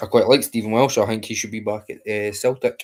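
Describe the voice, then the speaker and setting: A man talks at a moderate pace in a fairly low pitch, his intonation flat and monotone. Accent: Scottish. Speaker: football fan streamer. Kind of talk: live match watchalong chat. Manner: quiet, keeping voice down.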